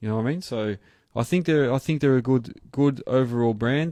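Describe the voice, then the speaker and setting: The man's voice has a dark, mellow tone, set against a quiet background. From Australia. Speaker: earthmoving contractor and channel host. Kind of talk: live stream chat. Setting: home studio live stream. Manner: casual, hesitant with fillers.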